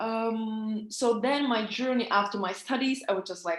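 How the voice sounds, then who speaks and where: This is a woman speaking. She talks with a Czech accent. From Czech Republic. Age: 30s. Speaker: business coach. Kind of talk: online training webinar. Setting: recorded online meeting. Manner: halting, many fillers.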